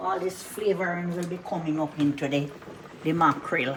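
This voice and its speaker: A woman with a fairly low pitch speaks fairly slowly in a relaxed tone, with ordinary pitch variation. Background noise is noticeable. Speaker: cooking channel host. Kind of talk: cooking tutorial. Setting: home kitchen. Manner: casual, relaxed.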